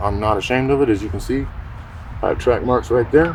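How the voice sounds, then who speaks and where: A man of medium pitch races along at a very fast pace against noticeable background noise. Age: 30s. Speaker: homeless man interviewed on the street. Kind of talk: interview testimony.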